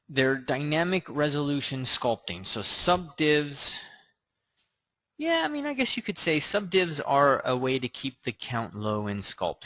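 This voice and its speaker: Lively in intonation, this man has a bright, sharp tone. He keeps to a fairly slow pace. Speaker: 3D sculpting instructor. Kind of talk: live tutorial Q&A stream. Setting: live stream with screen share. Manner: casual with filler words.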